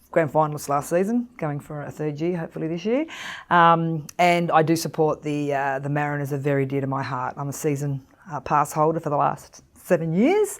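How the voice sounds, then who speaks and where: This woman has a very deep, low pitch and fairly even intonation. She speaks at a fairly quick pace. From Australia, Croatian-born. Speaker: market research staff member. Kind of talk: casual self-introduction.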